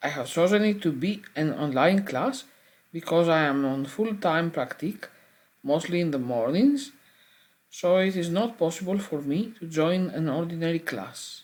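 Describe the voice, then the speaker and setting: Speaking at a moderate pace in a Greek accent, a woman uses lively intonation and a fairly low pitch. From Greece. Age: 40s. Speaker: adult language student. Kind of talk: prepared self-introduction. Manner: formal.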